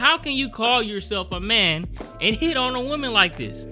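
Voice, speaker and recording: Moderate-paced speech over background music. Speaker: film recap narrator. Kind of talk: commentary.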